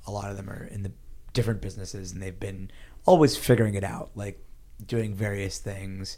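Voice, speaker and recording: Audible room echo surrounds a man with an American accent. His pitch is fairly low, with fairly even intonation. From US, Pittsburgh, Pennsylvania. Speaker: startup investor. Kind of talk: interview. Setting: office.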